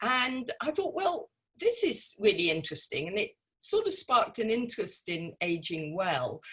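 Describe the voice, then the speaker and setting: Using an unremarkable speaking voice, a woman delivers her lines with lively intonation at a moderate pace. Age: 60s. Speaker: author. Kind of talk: interview.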